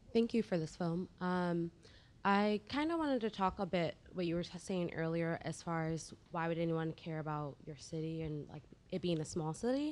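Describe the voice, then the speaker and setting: In a plain, everyday voice, a woman talks at a moderate pace with fairly low pitch and ordinary pitch variation. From Virginia. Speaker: audience member. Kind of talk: audience question. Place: stage.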